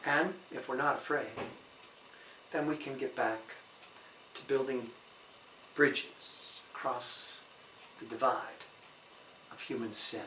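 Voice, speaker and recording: A man with a fairly high voice speaks at a very slow pace in a calm, gentle tone, his pitch varying in an ordinary way while his loudness swings widely, with long, frequent pauses, audible room echo and noticeable background noise. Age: 60s. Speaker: priest. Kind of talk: sermon-style reflection.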